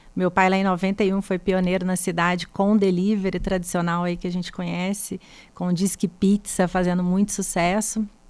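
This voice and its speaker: Monotone, flat intonation at a fairly quick pace in a Minas Gerais accent. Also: woman, medium pitch for a woman. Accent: mineiro. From Brazil, Minas Gerais (Três Pontas). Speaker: buffet founder and chef. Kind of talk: podcast interview.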